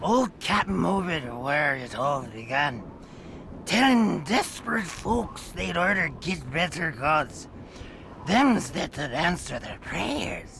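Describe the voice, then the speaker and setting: A man does a put-on character voice, fairly high-pitched with very wide pitch swings, at a fairly slow pace over clear background noise. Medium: video game. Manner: rambling, wheezy and conspiratorial.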